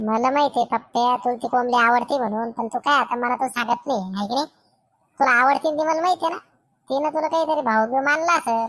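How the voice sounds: A woman uses a cartoonish character voice pitched high. She moves at a fairly quick pace.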